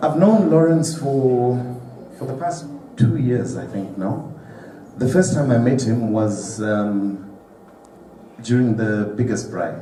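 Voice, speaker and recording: Over noticeable background noise and audible room echo, a man with a Zimbabwean accent speaks very slowly at a medium pitch, using lively intonation and long, frequent pauses. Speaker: guest speaker at charity dinner. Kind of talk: speech at a gala dinner.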